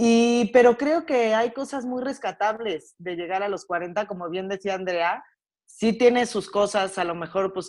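A woman with a plain, everyday voice, medium in pitch, at a fairly slow pace with lively intonation, on a very clean recording with a silent background. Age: 30s. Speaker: guest. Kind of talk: casual chat.

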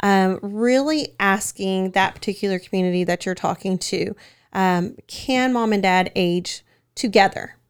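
Her pitch is medium for a woman, with ordinary variation, and she speaks at a fairly slow pace. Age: 30s. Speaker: senior living community manager. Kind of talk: casual interview. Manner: hesitant with many fillers.

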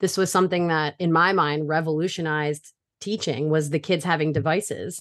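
Against a quiet background, a woman with an American accent and a plain, everyday voice speaks in a fairly low pitch with fairly even intonation and very even loudness. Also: fairly quick pace. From Brooklyn, New York, then Delaware from age eleven. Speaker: middle school music teacher and choral director. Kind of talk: casual interview.

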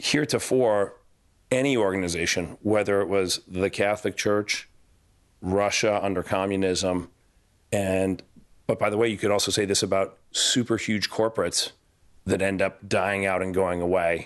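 Over a quiet background, a man with an unremarkable speaking voice talks at a moderate pace, using a fairly low pitch and fairly even intonation. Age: 40s. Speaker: finance executive and art collector. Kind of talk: casual chat.

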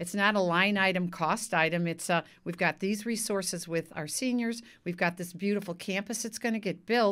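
This woman has a plain, everyday voice with medium pitch and fairly even intonation. She talks at a moderate pace in a very clean recording with a silent background. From US Midwest. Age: 60s. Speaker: city council candidate. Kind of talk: casual interview.

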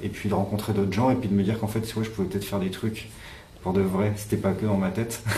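Audible room echo carries a man's monotone, flat delivery. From France, countryside near Clermont-Ferrand. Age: 30s. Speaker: electronic musician. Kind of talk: interview.

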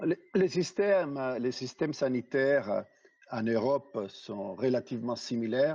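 Spoken fairly slowly with lively intonation, the voice has a dark, mellow tone and a non-native accent. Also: man, medium pitch for a man. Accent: foreign. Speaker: healthcare business executive. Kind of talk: interview.

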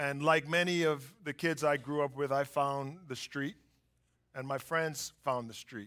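Speaking at a fairly slow pace, a man with a fairly high pitch and a bright, sharp tone keeps his intonation fairly even. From US, inner city. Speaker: business executive. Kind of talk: testimony. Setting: church stage with audience.

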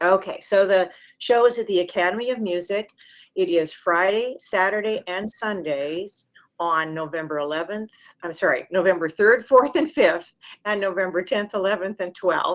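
With an ordinary speaking voice, a woman talks at a moderate pace in a medium pitch with ordinary pitch variation. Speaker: community opera producer. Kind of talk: radio interview.

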